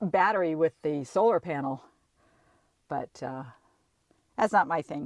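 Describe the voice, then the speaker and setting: A woman speaks at a moderate pace with lively intonation and a fairly low pitch, in a dry, close sound with no echo. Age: 60s. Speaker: travel vlogger. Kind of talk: casual chat. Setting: in a campervan. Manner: halting.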